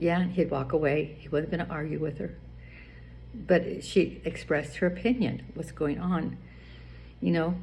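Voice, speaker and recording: Speaking at a moderate pace, a woman leaves long, frequent pauses, and the room echo is audible. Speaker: vlogger giving marriage advice. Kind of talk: casual monologue. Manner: halting.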